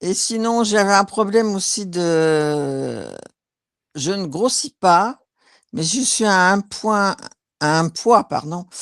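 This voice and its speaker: On a very clean recording with a silent background, the voice moves at a very slow pace with long, frequent pauses and ordinary pitch variation. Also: woman, medium pitch for a woman. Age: 60s. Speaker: hypnosis session client. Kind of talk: casual chat. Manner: halting.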